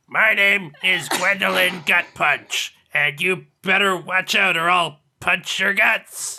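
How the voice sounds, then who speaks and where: A man puts on a raspy character voice, pitched high. He talks at a fairly slow pace with hardly any pauses. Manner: exaggerated, forced.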